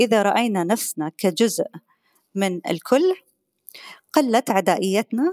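A woman's fairly high voice at a very slow pace, with very wide pitch swings and long, frequent pauses, dry and close with no echo on a very clean recording with a silent background. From Qatar. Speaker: professor. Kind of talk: interview.

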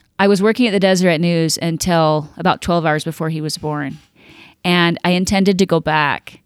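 In a very clean recording with a silent background, a woman with an American accent speaks at a moderate pace. She has an unremarkable speaking voice, fairly low in pitch, with fairly even intonation. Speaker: magazine publisher. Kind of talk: casual interview.

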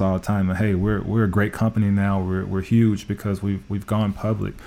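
A man with an American accent speaks in a fairly low voice with a dark, mellow tone. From US Midwest, Indianapolis. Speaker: automotive tech executive. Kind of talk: interview.

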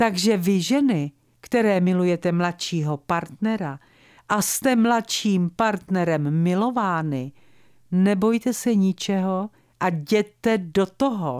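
At a very slow pace, a woman talks at a medium pitch with lively intonation. The recording is very clean with a silent background, and the sound is dry and close with no echo. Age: 70s. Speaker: radio presenter and wedding officiant. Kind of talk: scripted radio monologue.

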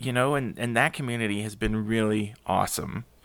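A man with an American accent uses an ordinary speaking voice at medium pitch and a moderate pace. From US South, San Antonio, Texas. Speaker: urban sketcher and artist. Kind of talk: casual interview.

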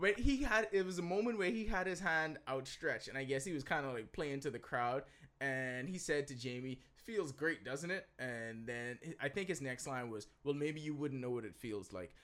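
A man talks at a moderate pace with a fairly high pitch and very wide swings in pitch. The recording is very clean, with a silent background.

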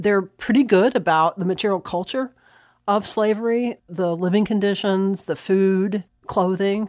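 Here is a woman with an unremarkable speaking voice in an American accent. Her pitch is medium, with ordinary variation. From US South, North Carolina (Catawba County). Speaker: historian. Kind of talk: interview.

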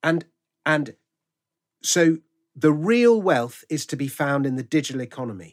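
A man with a London accent, fairly high-pitched and lively in intonation, at a moderate pace with long, frequent pauses, in a dry, close sound with no echo. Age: 50s. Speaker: author and comedian. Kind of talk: casual chat. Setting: remote call.

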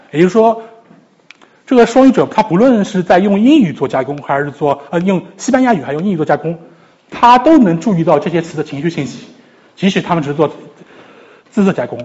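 Moving at a fairly quick pace, a man with a high pitch speaks with lively intonation. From China, Shanghai. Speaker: psychology PhD student, lecturer. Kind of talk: lecture. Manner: halting, with repetitions.

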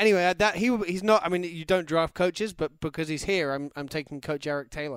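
With an English accent, a man talks very fast in a high voice, with hardly any pauses, ordinary pitch variation, and a dry, close sound with no echo. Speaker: football podcast co-host. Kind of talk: casual chat. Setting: studio.

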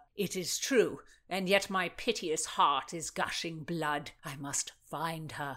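A woman speaks slowly in a put-on character voice, low in pitch. Her tone is bright and sharp. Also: ordinary pitch variation.

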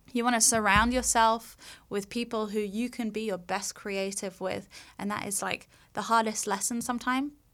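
A woman's fairly high voice in a London accent, monotone and flat, at a moderate pace on a very clean recording with a silent background. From London, England. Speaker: makeup artist. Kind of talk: casual interview chat.

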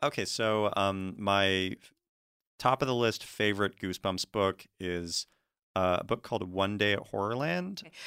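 A bright, sharp tone with fairly even intonation and big swings in loudness, on a very clean recording with a silent background. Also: man, fairly low pitch for a man, moderate pace. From Washington State. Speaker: podcast guest. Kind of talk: casual chat. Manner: hesitant, many fillers.

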